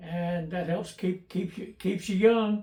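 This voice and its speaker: A man with a high pitch and an American accent, at a very slow pace with fairly even intonation. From US South (Memphis, Tennessee). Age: 80s+. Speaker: YouTuber restoring old tools. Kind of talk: casual personal Q&A monologue. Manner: halting, many fillers and repeats.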